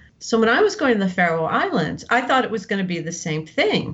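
A woman with an American accent talks at a fairly quick pace with lively intonation and a fairly high pitch. Noticeable background noise sits behind her. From New Jersey, US. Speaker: novelist. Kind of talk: interview.

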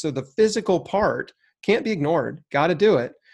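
Here is a man with an unremarkable speaking voice and lively intonation, talking at a fairly slow pace. The recording is very clean, with a silent background. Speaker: cancer survivor and health author. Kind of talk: interview.

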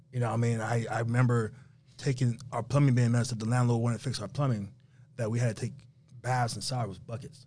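A man with an American accent talks at a very fast pace and medium pitch, his tone dark, mellow and somewhat breathy. His intonation is flat and monotone, with long, frequent pauses. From New York, Haitian family. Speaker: rental car entrepreneur. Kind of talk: interview. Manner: casual.

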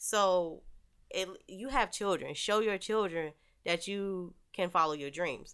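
A woman with an unremarkable speaking voice talks at a medium pitch and fairly slow pace, with ordinary pitch variation. Her loudness swings widely on a very clean recording with a silent background. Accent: American. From rural North Carolina. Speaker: Air Force veteran and photographer. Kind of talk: casual chat.

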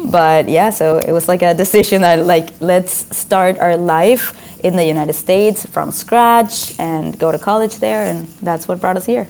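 The speaker keeps a moderate pace with ordinary pitch variation and hardly any pauses. Noticeable background noise is heard throughout. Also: woman. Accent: Spanish. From Venezuela (Caracas). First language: Spanish. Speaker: author and motivational speaker. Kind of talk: interview.

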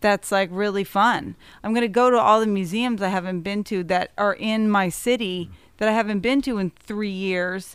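In an American accent, a woman with a normal speaking voice talks at a moderate pace and medium pitch with fairly even intonation on a very clean recording with a silent background. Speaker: musician. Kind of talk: casual chat.

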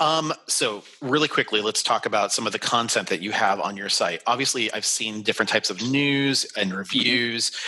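A man's plain, everyday voice with an American accent, medium pitch, ordinary pitch variation, a moderate pace and hardly any pauses. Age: 40s. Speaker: travel podcast host. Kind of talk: interview.

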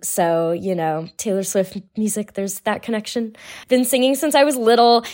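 A woman with an American accent speaks at a moderate pace in a normal speaking voice, her fairly high pitch carrying lively intonation. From California. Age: 20s. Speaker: lab manager, listener guest. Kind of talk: casual interview chat.

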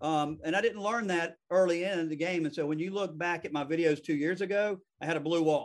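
In a Southern accent, a man speaks at a high pitch. His intonation stays fairly even. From US South. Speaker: real estate attorney and podcast host. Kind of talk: casual interview. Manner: fast.

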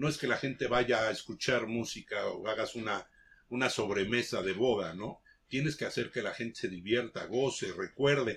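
Using a plain, everyday voice, a man talks at a medium pitch and moderate speed, his pitch varying in an ordinary way. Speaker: veteran DJ. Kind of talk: casual chat.

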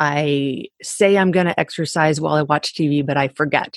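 Very slow and very deep, a woman's low voice comes through with a dry, close sound and no echo. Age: 40s. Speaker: fitness coach and podcaster. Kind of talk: interview.

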